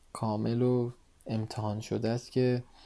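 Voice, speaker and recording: A man speaks at a fairly slow pace in a dark, mellow tone with flat, monotone intonation. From Iran, Tehran. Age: 20s. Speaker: photographer. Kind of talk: casual interview. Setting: late-night conversation.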